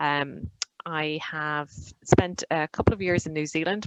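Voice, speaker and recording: A woman with an Irish accent speaks in a very deep, low pitch, captured with a dry, close sound and no echo. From Ireland. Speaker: digital marketing consultant. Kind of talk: webinar presentation.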